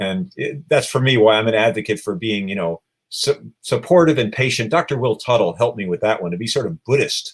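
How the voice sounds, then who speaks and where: The voice is somewhat breathy, moving at a fairly quick pace with very wide pitch swings. The recording is very clean, with a silent background. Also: man. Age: 60s. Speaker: animal rights activist. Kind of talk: interview.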